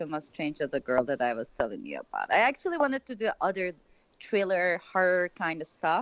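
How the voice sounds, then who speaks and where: A woman with a Turkish accent speaks at a medium pitch. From Turkey, Istanbul. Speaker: filmmaker. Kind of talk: interview.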